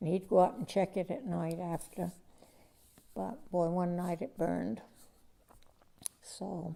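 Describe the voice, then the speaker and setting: Speaking at a fairly slow pace with long, frequent pauses, a woman has a fairly low pitch and ordinary pitch variation. Her tone is dark and mellow, with vocal fry. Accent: American. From Vermont, USA. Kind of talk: interview answer.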